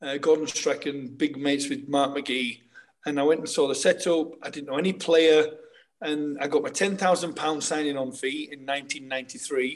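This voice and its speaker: Using a plain, everyday voice, a man speaks at a fairly high pitch and a moderate pace with fairly even intonation. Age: 50s. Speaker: former footballer and co-host.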